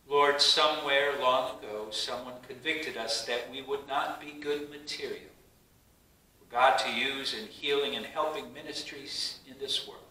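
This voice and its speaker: The tone is solemn and warm, delivered at a fairly slow pace with fairly even intonation and big swings in loudness, with audible room echo. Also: man. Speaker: pastor leading worship. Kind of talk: online worship service: spoken prayers and words of assurance. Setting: virtual church service streamed online. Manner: fervent, earnest prayer delivery; solemn, measured, warm and pastoral. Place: church. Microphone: camera far.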